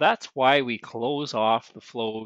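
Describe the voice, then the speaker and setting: A man's voice, dry with no echo, over a quiet background. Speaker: service school instructor. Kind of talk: tutorial. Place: farm machine. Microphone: phone near.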